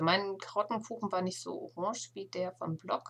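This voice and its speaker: A woman talks with a somewhat breathy, medium-pitched voice. Her intonation stays fairly even. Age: 40s. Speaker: knitting podcaster. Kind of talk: casual solo podcast monologue. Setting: home attic room.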